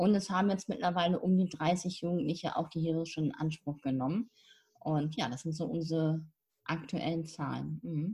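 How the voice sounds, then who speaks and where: A woman speaks at a fairly low pitch and moderate pace, with ordinary pitch variation. Her voice is somewhat breathy, with a dark, mellow tone. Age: 50s. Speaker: spiritual mentor and nonprofit founder. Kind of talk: casual interview.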